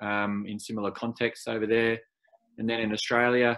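At a fairly quick pace, the speaker uses a normal speaking voice with ordinary pitch variation. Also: man. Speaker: co-host. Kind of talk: casual interview.

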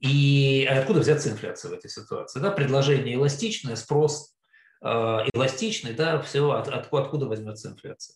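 A man speaks somewhat breathily at a fairly high pitch and a moderate pace. His pitch varies in an ordinary way while his loudness swings widely. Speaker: investment fund founder. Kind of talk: interview.

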